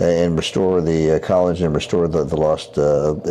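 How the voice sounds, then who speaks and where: Speaking at a moderate pace with fairly even intonation, a man with a very deep, low pitch is heard over noticeable background noise. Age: 70s. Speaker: surgeon, regenerative medicine doctor. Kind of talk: interview. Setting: Chicago, Illinois. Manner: halting, many repetitions and fillers.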